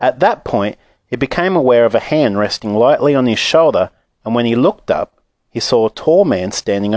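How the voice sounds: The intonation is lively in a natural reading voice. Behind it, the background is quiet.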